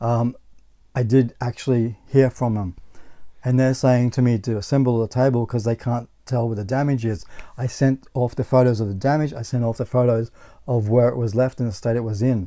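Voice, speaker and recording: A man with an Australian accent speaks fairly quickly in a dark, mellow tone with fairly even intonation against a quiet background. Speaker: gaming YouTuber; gaming channel host. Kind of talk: casual vlog monologue. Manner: halting, with frequent repetitions. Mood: annoyed about bad purchase. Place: home room.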